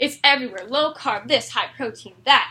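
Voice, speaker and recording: A woman with a high pitch uses a raised, projected voice. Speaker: college student. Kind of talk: persuasive speech; classroom Q&A. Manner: animated.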